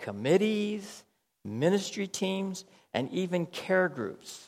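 Speaking at a very slow pace, a man uses a high pitch with very wide swings. He has an American accent. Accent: American accent noticed by locals. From United States. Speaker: pastor. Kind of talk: sermon. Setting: church. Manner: conversational.

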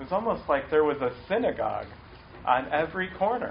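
Audible room echo surrounds this man's voice. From US Midwest, Cleveland, Ohio. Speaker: pastor. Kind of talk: sermon.

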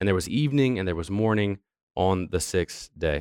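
A man talks at a moderate pace with lively intonation in a normal speaking voice. The recording is very clean, with a silent background. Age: 30s. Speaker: church youth pastor teaching a parents' class. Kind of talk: church class lecture. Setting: church classroom with audience.

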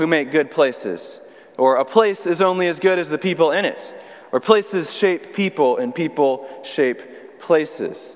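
Amid noticeable background noise, a man with a high pitch talks at a moderate pace, varying his pitch in an ordinary way. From Texas (Austin). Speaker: youth pastor, guest preacher. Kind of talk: sermon. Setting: church service.

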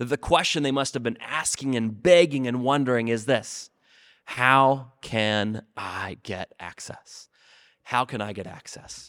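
A man with an unremarkable speaking voice talks at a medium pitch and a fairly slow pace, with ordinary pitch variation. His loudness swings widely on a very clean recording with a silent background. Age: 30s. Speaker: student ministry pastor. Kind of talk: short sermon. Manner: repetitive, with frequent fillers.

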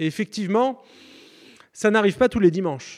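The sound is dry and close with no echo, and the intonation is lively. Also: man. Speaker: preacher. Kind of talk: sermon.

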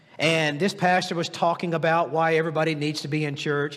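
With an American accent and an animated tone, a man speaks at a fairly quick pace in a high pitch, with audible room echo around him. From US South, Tennessee. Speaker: guest preacher and executive coach. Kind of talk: sermon. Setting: church service with congregation.

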